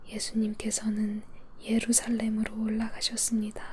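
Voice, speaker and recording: A soft-spoken woman uses a gentle, soothing tone at a very slow pace. Her intonation stays monotone and flat. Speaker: Bible reader. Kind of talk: Bible reading for sleep (ASMR). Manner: soft, gentle, soothing.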